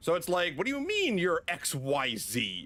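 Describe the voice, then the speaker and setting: Here a man is speaking. He has a slight New England accent. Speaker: video game streamer. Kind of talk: casual chat.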